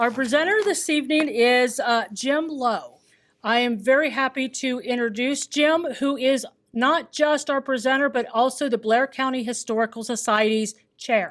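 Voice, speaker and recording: In a very clean recording with a silent background, a woman speaks loud and at a high pitch, using ordinary pitch variation at a moderate pace. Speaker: historical society staff introducing speaker. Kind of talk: event introduction and announcements. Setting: lecture hall with live audience.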